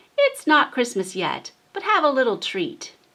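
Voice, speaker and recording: A woman uses a put-on character voice at a high pitch. Her pitch swings very widely at a moderate pace. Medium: read story.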